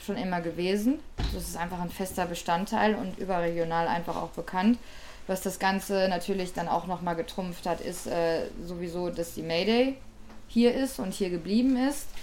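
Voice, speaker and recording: A woman talks at a moderate pace with a medium pitch. She has an ordinary speaking voice with ordinary pitch variation. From Ruhr area, Germany. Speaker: DJ, producer and record label owner. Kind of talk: interview.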